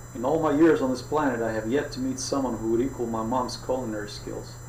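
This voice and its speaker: Moderate pace, slight Greek accent. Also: man. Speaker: author. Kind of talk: audiobook reading.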